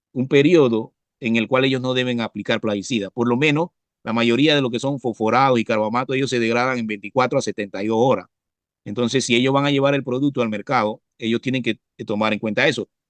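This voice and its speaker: Very fast speech with fairly even intonation and a dry, close sound with no echo. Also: man, medium pitch for a man. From Panama, Coclé province (La Pintada). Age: 60s. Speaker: professor and biologist, pesticide specialist. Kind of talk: interview. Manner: halting, frequent fillers and repetitions.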